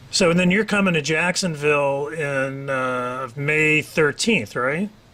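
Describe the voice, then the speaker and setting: Speaking fairly slowly with ordinary pitch variation, a man with a fairly high voice is heard over noticeable background noise. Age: 60s. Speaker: talk show host. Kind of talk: casual interview.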